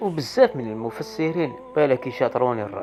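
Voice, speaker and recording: Music plays in the background as a man speaks. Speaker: dream interpreter. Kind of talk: casual talk to camera.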